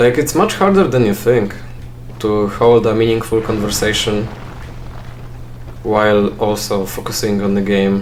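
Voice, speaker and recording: Amid noticeable background noise and audible room echo, a man speaks at a moderate pace in a monotone, flat way, with long, frequent pauses. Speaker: gaming let's play creator. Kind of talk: casual gameplay commentary. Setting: at home alone. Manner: halting, frequent pauses and fillers; chill, not loud.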